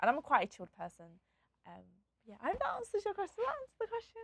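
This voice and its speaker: A woman with a London accent talks at a very fast pace, broken by long, frequent pauses. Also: dry, close sound with no echo. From England, Nottingham and London. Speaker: DJ and content creator. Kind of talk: interview. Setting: studio. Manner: talkative, bubbly.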